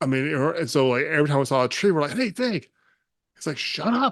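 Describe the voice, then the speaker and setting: Talking at a fairly quick pace in a West Texas accent, a man lets his pitch swing very widely. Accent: West Texas American. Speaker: podcast host, army veteran. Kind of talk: casual interview chat. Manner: fast; words run together.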